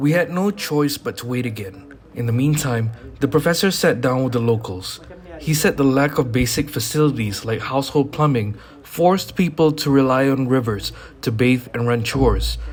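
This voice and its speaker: The pace is moderate and the pitch variation ordinary, with noticeable background noise in the clip. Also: man, medium pitch for a man. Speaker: documentary filmmaker and presenter. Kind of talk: documentary narration with on-location vlogging.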